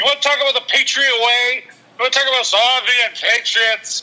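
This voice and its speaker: An extremely high-pitched male voice, raised and projected, at a moderate pace. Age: 40s. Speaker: amateur cook and sports fan. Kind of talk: casual chat.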